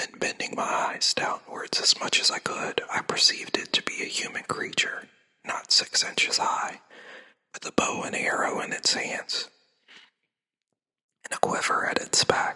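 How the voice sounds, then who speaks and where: The voice whispers in a soothing tone at a moderate pace. Long, frequent pauses break it up. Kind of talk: sleep story reading, classic book read aloud. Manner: soft, whispered, soothing.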